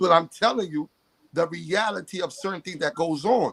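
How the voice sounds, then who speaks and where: The delivery is animated and fairly quick, with ordinary pitch variation and a dry, close sound with no echo. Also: man. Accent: New York. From New York City. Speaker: podcast guest. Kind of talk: heated debate.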